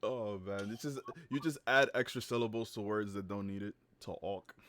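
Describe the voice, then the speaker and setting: Speaking with a New York accent, a man at medium pitch keeps a moderate pace and ordinary pitch variation. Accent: New York accent, says axe for ask. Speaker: podcast co-host. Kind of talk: casual chat.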